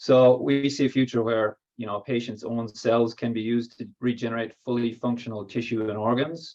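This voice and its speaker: A man with an Irish accent talks at a fairly quick pace, with hardly any pauses and fairly even intonation. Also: medium pitch for a man. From Ireland. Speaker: biotech company co-founder and technical lead. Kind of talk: workshop presentation. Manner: hesitant, many fillers.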